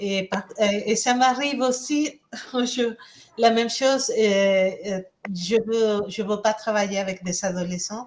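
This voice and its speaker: With a Spanish accent, a woman speaks at a very slow pace. Her pitch is fairly high. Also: ordinary pitch variation. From Mexico. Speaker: Spanish teacher. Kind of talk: self-introduction in meeting.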